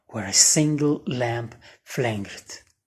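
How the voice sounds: A woman at a slow pace, her tone slightly mellow.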